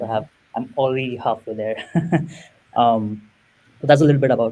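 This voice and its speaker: A man's medium-pitched voice in a Marathi accent, dark and mellow in tone, fairly quick, with fairly even intonation and big swings in loudness. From India and Middle East. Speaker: product manager. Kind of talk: casual interview.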